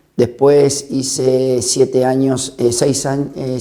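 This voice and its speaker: This man speaks at a medium pitch. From Argentina, La Pampa (General Pico). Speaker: interviewee. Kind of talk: personal testimony.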